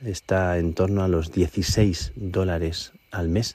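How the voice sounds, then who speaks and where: With a dark, mellow tone, a man talks at a very deep, low pitch and with fairly even intonation. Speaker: priest. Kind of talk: radio report. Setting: outdoors at night on a mountain.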